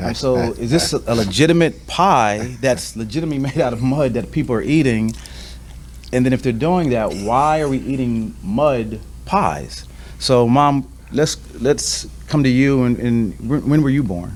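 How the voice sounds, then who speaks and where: With an American accent, a man talks at a moderate pace while noticeable background noise carries on behind him. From Delaware County, Pennsylvania, US. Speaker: family discussion host. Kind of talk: family conversation interview.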